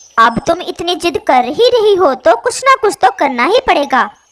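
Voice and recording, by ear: In a cartoonish character voice, the speaker uses an extremely high pitch with very wide pitch swings at a moderate pace.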